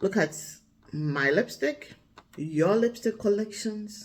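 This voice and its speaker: A woman speaks at a fairly slow pace with a Ghanaian accent. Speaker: vlogger and storyteller. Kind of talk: casual reflective talk to camera. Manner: relaxed, thoughtful.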